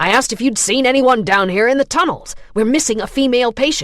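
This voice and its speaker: Using a put-on character voice, a woman talks very fast at a high pitch with lively intonation. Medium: read story. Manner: irritated, bullying.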